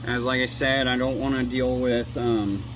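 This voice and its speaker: A man at medium pitch talks at a moderate pace, with audible room echo and noticeable background noise. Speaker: tool reviewer. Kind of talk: product review.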